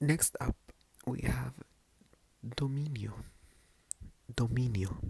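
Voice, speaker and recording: Soft-spoken, the voice moves at a very slow pace. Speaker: ASMR creator. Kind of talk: ASMR Spanish vocabulary lesson.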